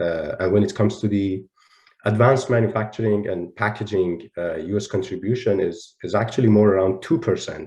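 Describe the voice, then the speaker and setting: A man's fairly low, somewhat breathy voice with a dark, mellow tone, at a moderate pace against a quiet background. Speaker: panel moderator. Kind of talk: panel discussion moderation. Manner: halting with many fillers.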